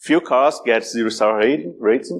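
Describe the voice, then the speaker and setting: Over a quiet background, a man talks at a moderate pace. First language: Portuguese. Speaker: cybersecurity speaker. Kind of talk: conference talk. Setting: stage with audience. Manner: halting, many repetitions.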